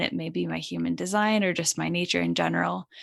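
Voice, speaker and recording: A woman with an American accent at a moderate pace, against a quiet background. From Connecticut. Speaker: spiritual channel and meditation guide. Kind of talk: casual interview.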